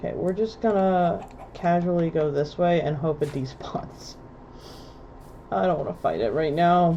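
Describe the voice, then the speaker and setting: Her voice is fairly low with a dark, mellow tone, and the woman uses lively intonation broken by long, frequent pauses. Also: moderate pace. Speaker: gaming streamer. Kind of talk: live gameplay stream chat. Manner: animated.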